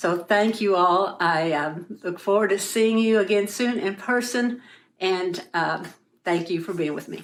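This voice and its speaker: A woman talks in a plain, everyday voice at a medium pitch. Her pace is fairly slow, with ordinary pitch variation. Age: 60s. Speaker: artist sharing testimony. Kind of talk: testimony.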